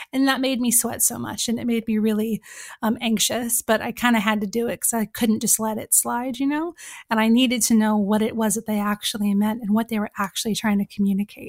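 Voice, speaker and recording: In a very clean recording with a silent background and a dry, close sound free of echo, a woman with an American accent talks at a fairly quick pace and fairly high pitch, somewhat breathy, with fairly even intonation. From California. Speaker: author and journalist. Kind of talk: podcast interview.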